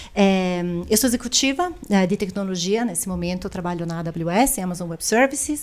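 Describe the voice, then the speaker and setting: A woman at medium pitch with ordinary pitch variation, speaking at a moderate pace. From Italy. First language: Italian (speaking Portuguese). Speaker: tech executive. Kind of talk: podcast interview.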